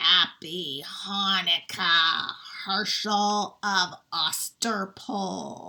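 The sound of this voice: A put-on character voice, raspy and at a middle pitch. It moves at a very slow pace.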